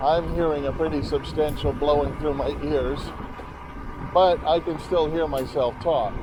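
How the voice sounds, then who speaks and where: A fairly high-pitched male voice at a moderate pace amid noticeable background noise. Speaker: motorcycle vlogger. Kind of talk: ride narration. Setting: outdoors riding a motorcycle. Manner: casual, talking to himself; jolted by bumps.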